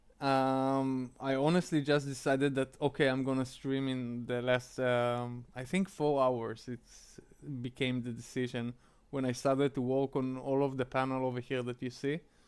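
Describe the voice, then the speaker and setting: With an Israeli accent, a man talks at a medium pitch in a monotone, flat intonation. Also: moderate pace. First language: Hebrew. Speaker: streamer. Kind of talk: casual live-stream chat. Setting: live stream. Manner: halting, many fillers.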